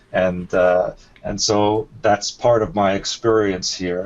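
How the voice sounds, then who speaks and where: Noticeable background noise runs behind a man whose voice is fairly low-pitched. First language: not English. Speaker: alien abduction experiencer and author. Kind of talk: interview. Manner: halting.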